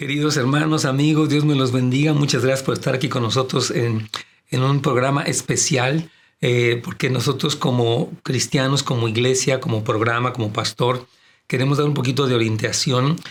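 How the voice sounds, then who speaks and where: Somewhat breathy, a man speaks at a moderate pace with very even loudness and fairly even intonation. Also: medium pitch for a man. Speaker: pastor. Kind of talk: casual chat.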